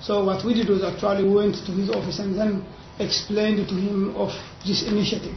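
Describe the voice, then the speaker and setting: A fairly quick pace over light background noise, with audible room echo. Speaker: university academic. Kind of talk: seminar presentation. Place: meeting room. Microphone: camera far.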